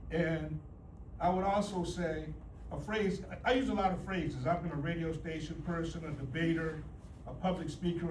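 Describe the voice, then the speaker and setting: Delivered at a moderate pace with fairly even intonation, the speech carries noticeable background noise and audible room echo. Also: man. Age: 70s. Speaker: union leader. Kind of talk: graduation speech. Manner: halting.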